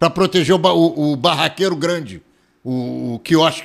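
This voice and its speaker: This man's intonation is lively. He keeps a moderate speed. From Rio de Janeiro, Brazil. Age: 70s. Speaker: lawyer, journalist and former city councillor. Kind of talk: casual political chat.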